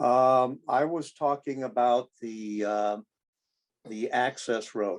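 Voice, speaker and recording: A man speaks very slowly at a medium pitch. His intonation is fairly even. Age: 60s. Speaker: project applicant. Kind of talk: public meeting discussion. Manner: halting.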